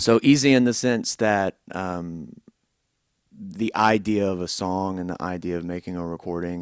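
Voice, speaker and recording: On a very clean recording with a silent background and a dry, close sound with no echo, a man with an American accent speaks fairly slowly in a very deep, low pitch. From Tennessee (Tullahoma, middle Tennessee). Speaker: musician. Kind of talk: interview.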